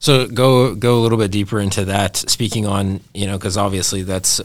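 An ordinary speaking voice: a man with fairly low pitch, talking at a moderate pace with fairly even intonation. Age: 30s. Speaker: podcast host. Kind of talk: casual interview.

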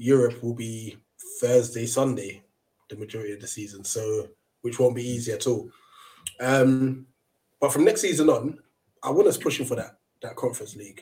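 A man with a London accent speaks at a moderate pace in a dark, mellow, somewhat breathy tone. His loudness swings widely, and he leaves long, frequent pauses. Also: medium pitch for a man, fairly even intonation. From London (Brixton), England. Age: 30s. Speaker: football fan channel host. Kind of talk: casual chat.

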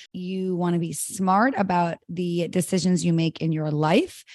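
A woman has an ordinary speaking voice with a fairly low pitch. She talks at a moderate pace against a quiet background. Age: 30s. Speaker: matchmaker and podcast co-host. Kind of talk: casual chat.

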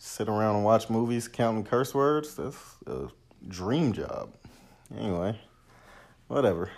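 With an American accent, a man speaks fairly slowly at a medium pitch, using ordinary pitch variation and long, frequent pauses. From Los Angeles, US. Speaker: movie review podcast host. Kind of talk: casual solo movie review. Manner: casual, many filler hesitations.

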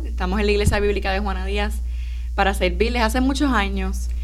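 A woman speaks at a very deep, low pitch with monotone, flat intonation. Noticeable background noise and audible room echo surround her. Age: 20s. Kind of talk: radio interview.

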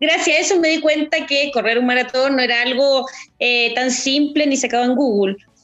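A woman with a high pitch talks at very even loudness. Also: ordinary pitch variation, moderate pace. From Chile. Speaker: amateur marathon runner. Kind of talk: casual chat.

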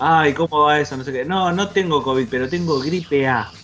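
A man's fairly high voice with lively intonation at a moderate pace, over noticeable background noise. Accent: Rioplatense. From Buenos Aires suburbs, Argentina. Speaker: podcast host. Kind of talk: casual chat.

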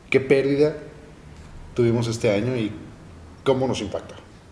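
Audible room echo surrounds a man as he speaks. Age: 20s. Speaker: podcast host. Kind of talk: casual chat.

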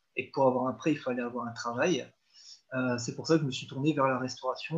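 A man talks in a monotone, flat intonation. His pitch is medium. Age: 20s. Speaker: school canteen cook and house renovator. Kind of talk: interview. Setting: call. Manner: halting.

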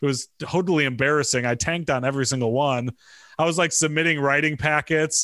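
A man with a Midwestern US accent speaks at a very fast pace, his bright, sharp tone set at a fairly high pitch with ordinary pitch variation and very even loudness. The recording is very clean with a silent background, and the sound is dry and close with no echo. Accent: US Midwest. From Michigan. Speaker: media executive. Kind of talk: casual interview.

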